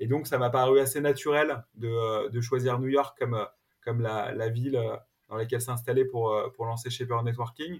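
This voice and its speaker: A man talks at a moderate pace and medium pitch in a flat monotone. His voice is somewhat breathy. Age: 40s. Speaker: entrepreneur. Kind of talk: interview. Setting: remote recording from home. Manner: halting, many repetitions and fillers.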